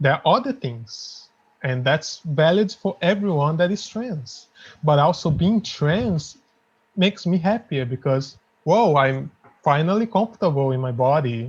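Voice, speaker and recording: Speaking at a fairly slow pace with a non-native accent, a man uses fairly high pitch and lively intonation. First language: not English. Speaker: indie game developer. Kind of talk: interview.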